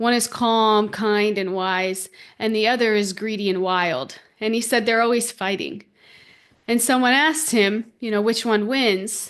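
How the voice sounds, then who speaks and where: Fairly high-pitched female voice, an unremarkable speaking voice with ordinary pitch variation at a fairly slow pace. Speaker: podcast host and spiritual teacher. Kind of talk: spiritual teaching podcast talk. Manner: conversational, warm, reflective.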